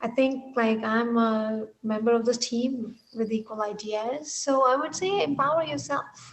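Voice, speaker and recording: A woman with an Indian accent, lively intonation and a fairly slow pace. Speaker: technology executive. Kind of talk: interview.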